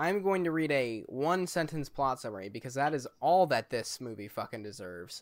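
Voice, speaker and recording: Very wide pitch swings in a man's fairly high voice, delivered at a moderate pace. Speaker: podcast host. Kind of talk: casual chat.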